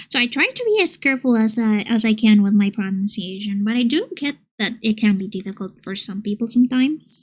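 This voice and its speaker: Somewhat breathy and fairly high in pitch, a woman speaks at a fairly quick pace with hardly any pauses and ordinary pitch variation. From Colombia. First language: Spanish. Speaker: streamer and illustrator. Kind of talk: casual chat.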